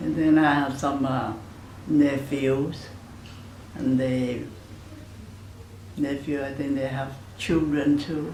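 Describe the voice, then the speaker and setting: A woman speaks in a very deep, low pitch with monotone, flat intonation. Her pace is very slow, with long, frequent pauses and audible room echo. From Panama. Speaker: grandmother interviewee. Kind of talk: family oral history interview. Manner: halting, with fillers.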